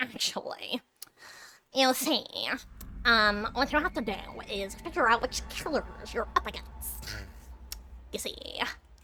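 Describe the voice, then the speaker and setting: A woman puts on a character voice with a fairly high pitch. She goes at a fairly slow pace, with long, frequent pauses. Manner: mocking, nerdy know-it-all.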